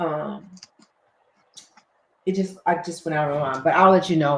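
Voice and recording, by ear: At a moderate pace, a woman talks with a fairly bright tone.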